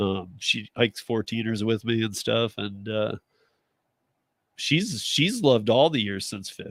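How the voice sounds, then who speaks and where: A man's ordinary speaking voice at medium pitch and moderate pace, recorded dry and close with no echo, very clean against a silent background. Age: 50s. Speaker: live-stream radio show host. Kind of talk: casual chat.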